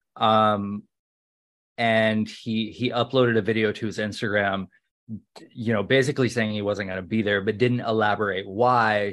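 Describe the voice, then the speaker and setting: An unremarkable speaking voice with fairly even intonation comes through over a quiet background. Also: man. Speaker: pop culture podcast co-host. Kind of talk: casual chat. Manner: irreverent, joking.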